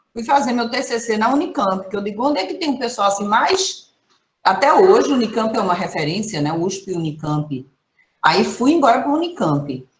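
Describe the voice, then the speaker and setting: The speech moves at a moderate pace. Its pitch rises and falls over a very wide range. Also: woman. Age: 60s. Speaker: professor, environmental management specialist. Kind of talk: online training talk. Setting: video call. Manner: conversational, animated.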